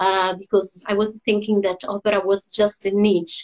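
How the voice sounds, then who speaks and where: A woman with an Italian accent speaks in a monotone, flat intonation at a medium pitch. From Italy, Rome. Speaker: opera singer. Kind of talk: interview. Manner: hesitant, many fillers.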